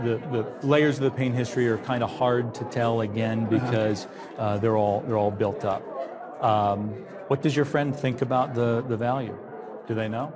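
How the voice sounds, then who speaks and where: Music plays in the background as a man talks at a moderate pace with fairly even intonation. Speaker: antiques appraiser. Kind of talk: appraisal interview explanation. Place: studio. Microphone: lapel.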